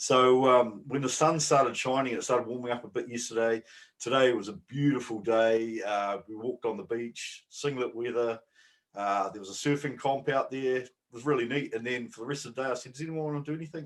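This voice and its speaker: Speaking at a fairly quick pace with a New Zealand accent, a man uses ordinary pitch variation while his loudness swings widely. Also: medium pitch for a man. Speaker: bodybuilding podcast co-host. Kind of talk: casual chat.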